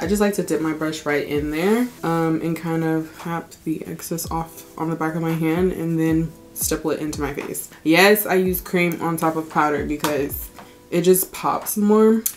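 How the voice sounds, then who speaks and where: A woman with a fairly low pitch and fairly even intonation, at a moderate pace, with music behind her. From Texas, Houston. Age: 20s. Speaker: beauty youtuber. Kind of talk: makeup tutorial. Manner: casual, chatty.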